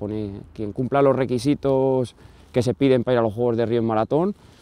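A man's medium-pitched voice, dark and mellow in tone, with ordinary pitch variation, a moderate pace and a dry sound with no echo. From Spain, Salamanca; Spain. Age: 30s. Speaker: marathon runner; interviewee. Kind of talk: interview. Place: stadium. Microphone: lapel.

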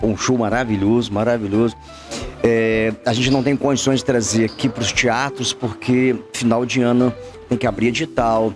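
Clear music plays in the background behind a man. He speaks at a moderate pace with fairly even intonation. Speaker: guest. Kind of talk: interview answer. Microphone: handheld.

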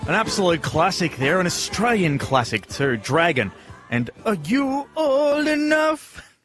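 Over clear music, a man speaks at a fairly slow pace with a high pitch and very wide pitch swings, the sound dry with no echo. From Australia. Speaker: radio presenter. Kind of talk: radio announcing between songs. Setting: studio. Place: studio. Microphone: studio mic.

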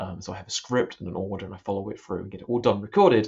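Against a quiet background, a man talks in a somewhat breathy voice at a fairly low pitch. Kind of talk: casual spoken reflection before prayers. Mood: thoughtful, hesitant. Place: home room. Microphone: webcam.

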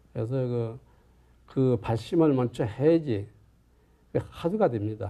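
Using a dark, mellow tone, a man speaks at a medium pitch and a very slow pace with ordinary pitch variation. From Chungju, South Korea. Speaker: Buddhist monk, Zen master. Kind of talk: interview answer on Buddhist practice. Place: home room. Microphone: lapel.

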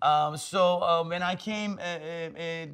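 Against a quiet background, a man with a Turkish accent speaks at a high pitch with ordinary pitch variation. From Turkey, Istanbul. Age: 50s. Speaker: tech executive and investor. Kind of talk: casual interview. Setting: in-person recording in San Francisco. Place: studio. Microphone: lapel.

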